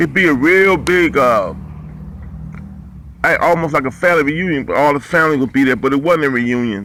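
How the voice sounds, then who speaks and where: This man speaks at a fairly quick pace, with long, frequent pauses between stretches. His voice sits fairly high with ordinary pitch variation and very even loudness. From Ohio, US (Cleveland, Ashtabula). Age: 50s. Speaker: boxing commentator and ex-boxer. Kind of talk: casual storytelling monologue. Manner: casual, halting with fillers.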